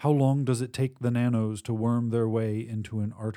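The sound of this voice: An unforced reading voice, its intonation mostly level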